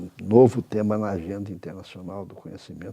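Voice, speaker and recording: A man's fairly low, dark and mellow voice at a moderate pace. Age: 80s+. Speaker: professor and international academic leader. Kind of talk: interview. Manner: halting, with repeated words.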